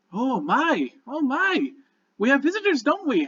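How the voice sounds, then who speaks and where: Moderately paced, extremely high-pitched put-on character voice from a man. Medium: actual play. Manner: sweet, homely.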